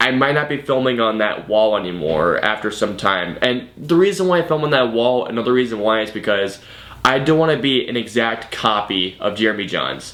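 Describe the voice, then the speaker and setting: Medium pitch from a man, with noticeable background noise. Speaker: YouTube movie reviewer. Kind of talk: vlog monologue. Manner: fast; halting, self-repeating.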